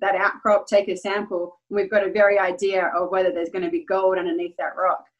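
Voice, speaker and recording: Her pitch sits at a medium level. This woman talks with an Australian accent. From Western Australia, Perth. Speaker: geologist and mining company CEO. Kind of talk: interview.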